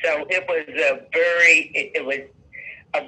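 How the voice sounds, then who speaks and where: The man speaks at a very slow pace. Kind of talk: interview answer. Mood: reflective, emotional storytelling. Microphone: video call.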